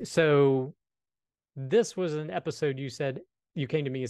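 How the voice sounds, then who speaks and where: A man with an unremarkable speaking voice talks at a moderate pace in a fairly high pitch against a quiet background. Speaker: podcast co-host and developer. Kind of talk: casual chat.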